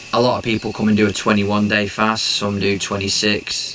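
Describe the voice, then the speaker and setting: Noticeable background noise behind monotone, flat intonation. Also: man. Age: 30s. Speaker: fasting interviewee, former boxer. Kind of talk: interview testimony. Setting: wellness center.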